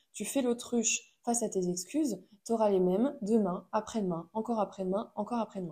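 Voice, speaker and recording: Somewhat breathy, a woman speaks with a dark, mellow tone at a medium pitch and ordinary pitch variation. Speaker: podcast host. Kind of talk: solo monologue podcast. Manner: hesitant with many fillers. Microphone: new microphone.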